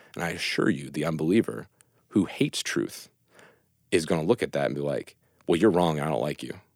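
A man with an American accent speaks at a fairly quick pace, his very deep voice carrying vocal fry. He leaves long, frequent pauses, and the recording is very clean with a silent background. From West Virginia. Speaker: network engineer and law school applicant. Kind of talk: casual chat.

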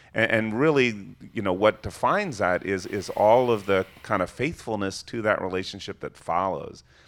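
A plain, everyday voice at a moderate pace, with hardly any pauses. The recording is very clean over a silent background. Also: man, fairly low pitch for a man, ordinary pitch variation. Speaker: pastor. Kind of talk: panel discussion.

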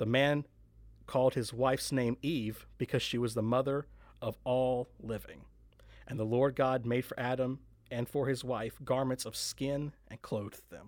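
Male speech in a plain, everyday voice at a fairly slow pace, on a very clean recording with a silent background. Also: medium pitch for a man. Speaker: podcast host. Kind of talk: casual podcast intro and discussion. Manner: friendly, upbeat.

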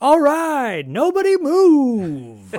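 The put-on character voice comes out loud and high-pitched. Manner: loud, like a wrestling announcer.

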